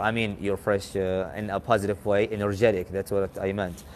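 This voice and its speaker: In an Arabic accent, a man speaks at a moderate pace with a fairly low pitch and monotone, flat intonation. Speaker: English conversation host. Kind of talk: casual chat.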